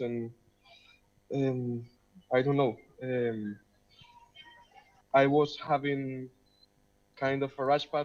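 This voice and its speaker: Over music in the background, the speaker talks very slowly in a monotone, flat intonation with a Spanish accent. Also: man. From Spain, Madrid. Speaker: film director. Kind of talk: Q&A panel. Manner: halting.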